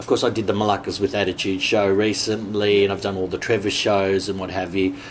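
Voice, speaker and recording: A man with an Australian accent talks at a very fast pace in a fairly low voice. His intonation is monotone and flat, with light background noise. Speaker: comedian. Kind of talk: interview answer. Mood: cheerful, laughing. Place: home room.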